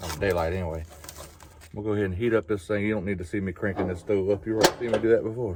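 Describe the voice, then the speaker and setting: Speaking very fast, a man with an American accent keeps a fairly low pitch and fairly even intonation. Noticeable background noise is present. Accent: southern US, fading. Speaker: outdoors vlogger. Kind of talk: casual cooking vlog. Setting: outdoors, truck camping in a park. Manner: casual, chatty.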